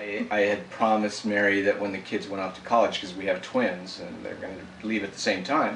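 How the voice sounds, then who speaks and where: Over noticeable background noise and audible room echo, a man talks at a fairly quick pace with fairly low pitch, fairly even intonation and big swings in loudness. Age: 60s. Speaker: dancer. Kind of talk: interview.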